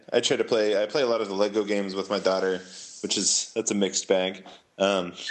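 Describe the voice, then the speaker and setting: With noticeable background noise behind him, a man speaks at a very fast pace with fairly even intonation. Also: fairly low pitch for a man. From San Francisco Bay Area, California. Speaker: comic book writer. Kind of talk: casual interview chat.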